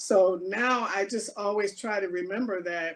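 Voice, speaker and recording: A woman uses a plain, everyday voice with ordinary pitch variation. She talks at a fairly slow pace. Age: 60s. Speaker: race equity task force co-chair. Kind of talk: community talk and Q&A.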